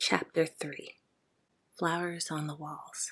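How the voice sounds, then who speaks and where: Soft-spoken and calm in tone, the speaker goes at a fairly slow pace. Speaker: ASMR sleep story narrator. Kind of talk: sleep story. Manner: soft-spoken, calm.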